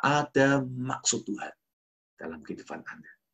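A man against a quiet background. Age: 40s. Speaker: pastor. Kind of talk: sermon. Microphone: webcam.

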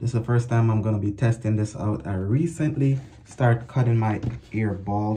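Somewhat breathy, a man speaks at a moderate pace in a fairly low pitch. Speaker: product reviewer. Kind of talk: casual vlog chat. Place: bathroom. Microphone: phone near.

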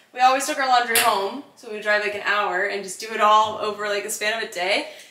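Noticeable background noise sits behind a woman's voice. She talks very fast with fairly even intonation. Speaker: homeowner vlogger. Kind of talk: casual vlog chat. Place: kitchen. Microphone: camera far.

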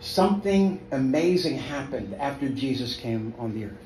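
A man speaks at a medium pitch and moderate pace with lively intonation. Light background noise and audible room echo are present. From South Africa. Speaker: pastor. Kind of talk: sermon. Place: home room.

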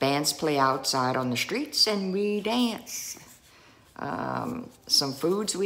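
A woman with a South Louisiana accent, a very deep, low pitch, very wide pitch swings and a very slow pace. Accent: Cajun South Louisiana. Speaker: vlogger. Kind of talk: casual talk to camera. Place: home room. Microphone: phone near.

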